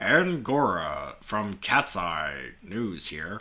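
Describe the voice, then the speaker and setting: Using a put-on character voice, a man speaks very slowly at a fairly low pitch with very wide pitch swings. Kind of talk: broadcast news. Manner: chipper.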